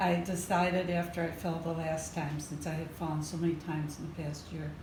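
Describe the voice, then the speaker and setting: Fairly low in pitch, a woman with an American accent talks at a fairly quick pace in a monotone, flat way. The recording has audible room echo and noticeable background noise. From northern US. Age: 70s. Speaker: patient. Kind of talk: interview.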